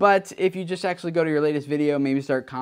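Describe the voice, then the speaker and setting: The tone is energetic. The background is quiet. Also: man. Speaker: YouTube creator educator. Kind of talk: video news roundup. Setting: talking to camera. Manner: fast talker. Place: home room.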